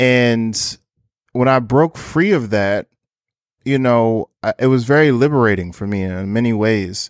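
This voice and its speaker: A man with an American accent, medium pitch and ordinary pitch variation, with long, frequent pauses, in a dry, close sound with no echo and a very clean recording with a silent background. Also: fairly slow pace. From Newark, New Jersey. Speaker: documentary photographer. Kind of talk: interview.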